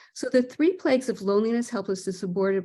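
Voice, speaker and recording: Somewhat breathy, a woman's voice carries a dark, mellow tone and lively intonation. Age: 70s. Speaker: presenter on elder care. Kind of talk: webinar presentation. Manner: halting, many fillers.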